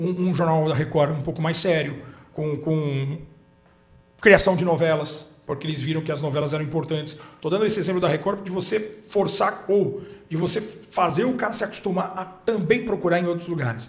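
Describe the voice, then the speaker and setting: Talking at a moderate pace, a man uses a high pitch that varies in an ordinary way. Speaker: sports commentator and broadcaster. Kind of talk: interview answer.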